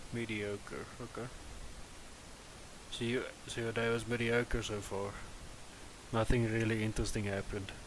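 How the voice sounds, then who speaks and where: Speaking with a non-native accent, a man of medium pitch talks at a moderate pace in a flat monotone, leaving long, frequent pauses. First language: not English. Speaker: gaming live streamer. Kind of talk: live stream gameplay chat. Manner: casual, hesitant.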